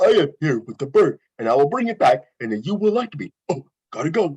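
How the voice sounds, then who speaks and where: A man puts on a character voice, high in pitch and at a fairly quick pace. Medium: stage play. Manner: earnest, eager, naive.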